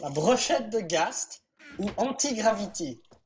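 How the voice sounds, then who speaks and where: Very slow, somewhat breathy speech from a woman, fairly high in pitch, with very wide pitch swings. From Switzerland. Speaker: game server event organizer. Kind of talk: casual chat while gaming.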